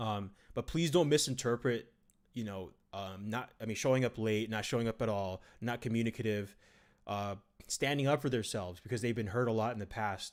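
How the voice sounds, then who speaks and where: Ordinary pitch variation marks a man's medium-pitched voice in a very clean recording with a silent background. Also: fairly quick pace. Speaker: gaming live streamer. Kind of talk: live stream chat. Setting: live stream. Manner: fast.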